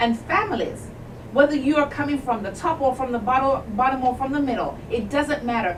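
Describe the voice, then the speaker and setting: A woman speaks in a Jamaican accent at a high pitch with ordinary pitch variation, with audible room echo and noticeable background noise. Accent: noticeable accent, Jamaican-born English. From England. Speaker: civil rights advocate, academic. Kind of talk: radio interview. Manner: emphatic, exhorting.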